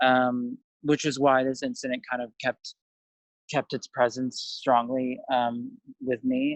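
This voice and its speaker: In a dry, close sound with no echo, a man with an American accent speaks at a very slow pace. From US, Russian-speaking immigrant home. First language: Russian. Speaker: film director. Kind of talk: interview. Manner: halting, many fillers.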